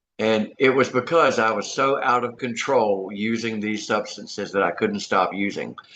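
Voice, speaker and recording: A man's medium-pitched, fairly even delivery at a moderate pace, a normal speaking voice. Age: 60s. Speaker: recovering addict sharing his story. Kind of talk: testimony.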